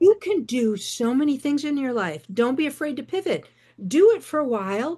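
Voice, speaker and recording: With very wide pitch swings, a woman speaks high in a dark, mellow tone at a moderate pace. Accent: American. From rural northeastern Michigan. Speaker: novelist. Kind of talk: interview.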